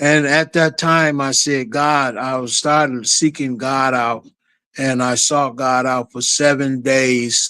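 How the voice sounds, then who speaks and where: Very slowly, a man speaks at medium pitch in a bright, sharp tone with monotone, flat intonation. The recording is very clean, with a silent background. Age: 60s. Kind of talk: testimony.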